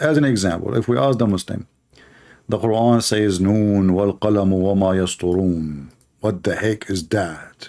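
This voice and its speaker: His tone is dark and mellow, and he is a man with a fairly low pitch and ordinary pitch variation. The recording is very clean, with a silent background. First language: Arabic. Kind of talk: polemical livestream monologue. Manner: animated, mocking.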